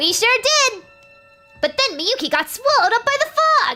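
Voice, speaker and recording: Over faint music in the background, a put-on character voice speaks at extremely high pitch and a moderate pace. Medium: game stream. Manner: bright, enthusiastic.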